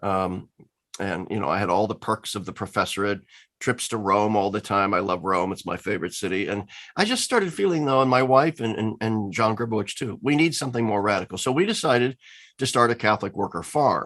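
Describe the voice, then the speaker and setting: Fairly quick speech in a Midwestern US accent, with ordinary pitch variation against a quiet background. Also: man, fairly low pitch for a man. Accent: General American, Midwestern. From US Midwest, Lincoln, Nebraska. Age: 60s. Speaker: theologian and former professor. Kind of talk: interview.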